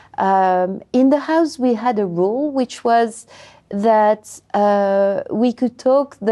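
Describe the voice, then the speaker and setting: A dark, mellow tone with ordinary pitch variation, in a French accent. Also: woman. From France. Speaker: language education researcher. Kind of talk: interview. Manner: hesitant, many fillers.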